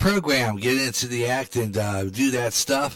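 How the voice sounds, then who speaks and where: At a moderate pace and medium pitch, a man with an American accent talks in a normal speaking voice. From western Pennsylvania, Pittsburgh area. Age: 60s. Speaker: online radio host. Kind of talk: casual talk radio monologue.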